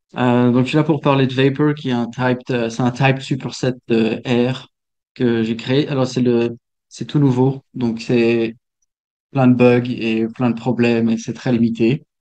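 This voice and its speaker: A man speaks at a fairly slow pace with a dark, mellow tone, a medium pitch and a flat, monotone delivery. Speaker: software developer. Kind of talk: technical talk. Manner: halting, many fillers and repetitions.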